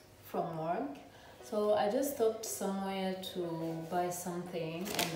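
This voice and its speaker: A woman at a very slow pace amid audible room echo and loud background noise. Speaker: vlogger. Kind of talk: casual vlog chat. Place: kitchen. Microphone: camera far.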